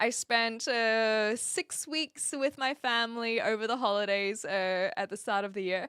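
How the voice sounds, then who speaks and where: A woman speaks at a fairly high pitch with a bright, sharp tone, recorded very cleanly against a silent background with a dry, close sound and no echo. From New Zealand. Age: 20s. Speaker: streamer. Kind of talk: casual chat. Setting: live stream. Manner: animated.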